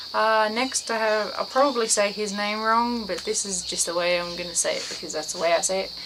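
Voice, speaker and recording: With an Australian accent and a fairly high pitch, a woman talks at a fairly quick pace with ordinary pitch variation, while room echo is audible and background noise is noticeable. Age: 20s. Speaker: vlogger. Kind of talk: casual vlog monologue. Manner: halting, many fillers; rambling.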